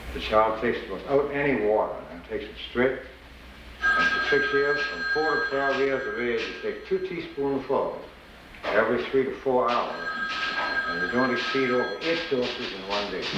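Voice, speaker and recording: Here a man speaks in a Charleston accent at a moderate pace. Audible room echo and noticeable background noise are present. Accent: Charleston Southern US. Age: 70s. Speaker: pharmacist and drugstore owner. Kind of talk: casual chat with customers.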